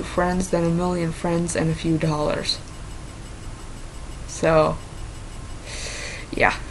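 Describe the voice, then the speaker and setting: A woman with an American accent talks at a fairly slow pace and a medium pitch. Audible room echo and noticeable background noise surround her voice. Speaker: vlogger. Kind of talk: casual vlog, reading and answering quiz questions. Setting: talking to camera alone. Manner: hesitant, with fillers and false starts.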